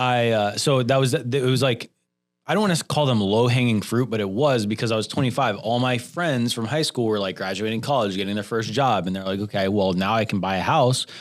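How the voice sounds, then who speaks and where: A man speaks at a fairly quick pace in a plain, everyday voice, medium in pitch with ordinary pitch variation, on a very clean recording with a silent background. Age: 30s. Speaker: real estate agent. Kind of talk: casual chat.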